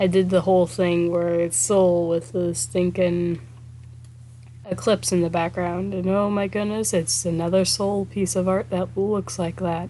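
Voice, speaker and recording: A woman speaks quietly at a fairly slow pace in a fairly low voice with lively intonation. Noticeable background noise runs underneath. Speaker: artist streaming a speedpaint. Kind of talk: casual livestream chat. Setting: live stream.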